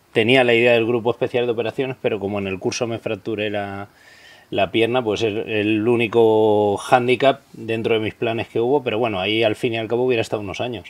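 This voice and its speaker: Fairly quick speech from a man, intonation monotone and flat. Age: 40s. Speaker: police officer; interview guest. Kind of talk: interview. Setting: outdoors. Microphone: studio mic.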